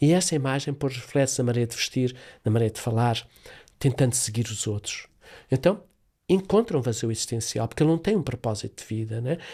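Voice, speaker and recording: Very fast and lively, a man's medium-pitched voice sounds dark, mellow and somewhat breathy on a very clean recording with a silent background. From Africa, Portuguese-speaking. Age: 70s. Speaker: therapist. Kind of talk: interview.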